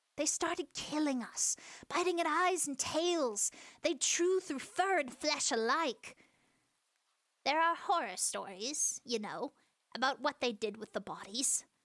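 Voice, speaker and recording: A woman's put-on character voice, high-pitched and at a fairly slow pace. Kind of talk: audio roleplay. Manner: silly, comedic.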